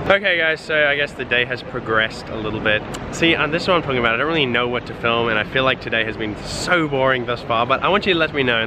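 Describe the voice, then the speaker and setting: A man rattles along very fast with hardly any pauses and ordinary pitch variation. The sound is dry with no echo, and noticeable background noise comes through. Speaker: vlogger. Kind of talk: casual vlog chat. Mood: playful, joking. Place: street. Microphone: phone near.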